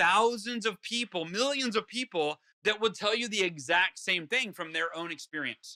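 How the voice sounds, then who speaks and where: A man speaks in a high-pitched, raised, projected voice with an animated tone and ordinary pitch variation. His tone is bright and sharp, and the sound is dry and close with no echo. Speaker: author and motivational speaker. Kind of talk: interview. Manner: fast.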